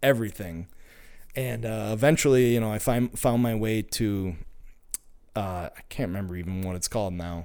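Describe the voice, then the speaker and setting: In an American accent, the speaker goes at a moderate pace with ordinary pitch variation, on a very clean recording with a silent background. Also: man. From Minnesota. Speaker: mechanical engineer and podcast listener. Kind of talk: personal testimony. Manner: halting, many repetitions and fillers.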